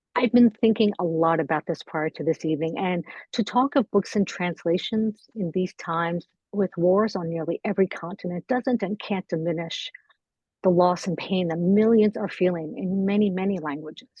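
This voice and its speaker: A woman's somewhat breathy voice at medium pitch, with ordinary pitch variation. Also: moderate pace. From Iran. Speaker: panel moderator. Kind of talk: formal introduction.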